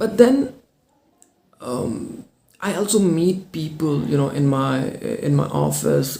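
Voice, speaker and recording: With a non-native accent, the speaker goes at a very slow pace and leaves long, frequent pauses. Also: man. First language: not English. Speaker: English speaking coach. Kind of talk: personal story told to camera.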